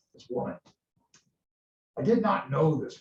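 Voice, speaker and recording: A man puts on a character voice that is resonant. It sits at a fairly high pitch. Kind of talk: classroom play reading. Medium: read story. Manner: sonorous, formal, frank.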